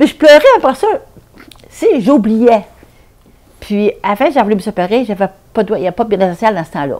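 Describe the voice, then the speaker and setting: With a Quebec accent and lively intonation, the speaker moves at a fairly quick pace but leaves long, frequent pauses. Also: woman, fairly high pitch for a woman. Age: 70s. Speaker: domestic violence survivor. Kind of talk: testimony. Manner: halting.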